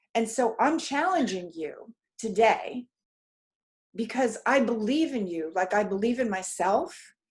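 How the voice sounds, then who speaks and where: A woman speaks at a fairly slow pace in a fairly high voice. Her pitch swings very widely. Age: 70s. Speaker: energy healer and life coach. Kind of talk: motivational talk. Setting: video call. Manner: animated.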